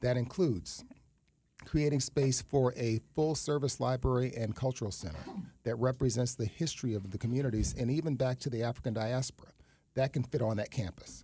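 Speaking at a fairly quick pace, a man with an American accent uses a dark, mellow, somewhat breathy tone at medium pitch with ordinary pitch variation. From New York City, East Harlem. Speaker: nonprofit executive director. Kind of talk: radio interview.

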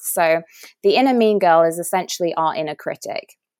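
The speaker has an English accent, heard on a very clean recording with a silent background. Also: woman. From England. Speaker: nutritionist and wellness coach. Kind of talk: interview.

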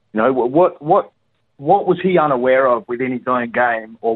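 A man with an Australian accent talks at a moderate pace and medium pitch with ordinary pitch variation. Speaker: caller. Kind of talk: casual chat. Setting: phone call. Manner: halting.

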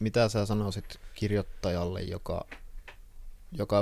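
This man has an ordinary speaking voice and a fairly low pitch. His intonation is fairly even. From Finland, Kuopio. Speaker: podcast host, writer. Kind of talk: interview. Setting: guest's workroom.

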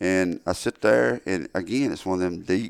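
Speaking with a Southern US accent, a man delivers his words with lively intonation. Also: very clean recording, silent background. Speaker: turkey hunter and call maker. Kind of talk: casual chat. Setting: studio. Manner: halting.

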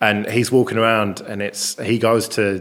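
A man's voice at a medium pitch. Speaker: podcast host. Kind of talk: casual chat. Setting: rented flat abroad. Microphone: echoey room.

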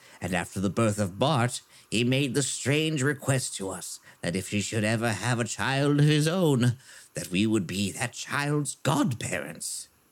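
Using a put-on character voice, a man speaks at a medium pitch and a moderate pace. His intonation is lively. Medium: actual play.

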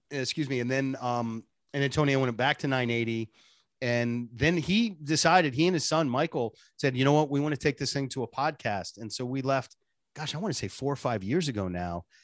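Speaking fairly quickly with an American accent, a man has an unremarkable speaking voice and a medium pitch. His pitch varies in an ordinary way, and the background is quiet. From US Northeast, Boston. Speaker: radio personality and voice impressionist. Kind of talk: casual interview chat.

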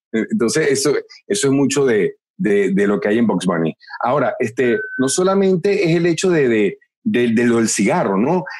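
Speaking at a fairly slow pace, a man with a fairly high voice swings his pitch very widely while keeping his loudness very even. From Venezuela. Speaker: voice actor. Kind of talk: interview. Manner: animated.

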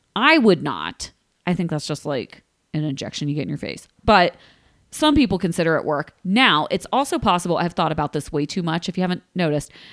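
A woman's fairly low pitch with lively intonation at a fairly quick pace. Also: very clean recording, silent background. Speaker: podcast co-host. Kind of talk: casual chat. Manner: laughs often.

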